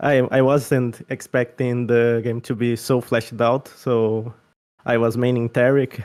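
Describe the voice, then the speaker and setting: In a Portuguese accent, a man talks at a fairly slow pace with a medium pitch and a dark, mellow tone. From Brazil. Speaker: game playtester. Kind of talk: casual chat.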